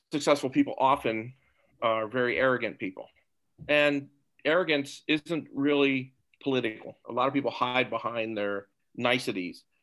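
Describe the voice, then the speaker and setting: With an American accent, a man talks at a moderate pace in an ordinary speaking voice of medium pitch, on a very clean recording with a silent background. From Topeka, Kansas. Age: 60s. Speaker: guest, marine veteran and businessman. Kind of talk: discussion.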